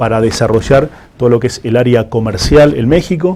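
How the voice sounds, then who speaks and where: The speaker has an Argentine accent. The pace is moderate. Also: man. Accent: Argentine accent, noted by himself. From Argentina. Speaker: food safety certification executive. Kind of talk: interview.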